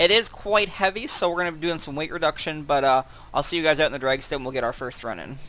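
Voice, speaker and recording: Talking at a very fast pace, a man has a fairly high pitch and big swings in loudness. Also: ordinary pitch variation. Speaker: gaming YouTuber. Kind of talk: gameplay commentary.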